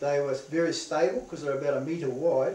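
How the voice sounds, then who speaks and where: A fairly high-pitched man with a New Zealand accent at a moderate pace with fairly even intonation, amid audible room echo and noticeable background noise. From New Zealand, Northland. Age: 60s. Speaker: veteran surfer. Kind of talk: interview.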